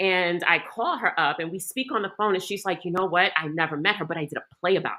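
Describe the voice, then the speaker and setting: A woman with a New York accent speaks in an animated, bright and sharp tone at a medium pitch. The recording is very clean, with a silent background. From New York City, Queens. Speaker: actress. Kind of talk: panel interview.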